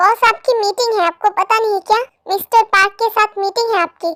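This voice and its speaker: Using a squeaky, put-on character voice at an extremely high pitch, a woman talks at a moderate pace with fairly even intonation in a dry, close sound with no echo. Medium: read story. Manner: curt, unimpressed.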